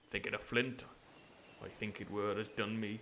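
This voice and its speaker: Growling in a put-on character voice, the speaker keeps a monotone, flat intonation at a moderate pace. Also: man, fairly low pitch for a man. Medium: game stream.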